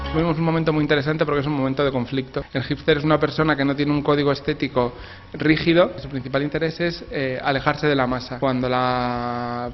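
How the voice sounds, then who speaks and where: Monotone, flat intonation marks this man's fairly high voice at a fairly quick pace. Noticeable background noise runs underneath. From Spain. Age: 40s. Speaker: author. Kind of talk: interview. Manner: halting.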